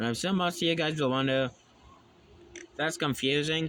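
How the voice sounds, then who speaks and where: A man's fairly high-pitched voice. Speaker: hobby angler. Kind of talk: casual fishing tutorial talk to camera.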